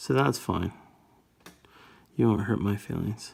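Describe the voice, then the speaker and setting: Ordinary variation marks the pitch. The speed is moderate. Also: man. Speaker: miniature painting tutor. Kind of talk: tutorial. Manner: casual, halting.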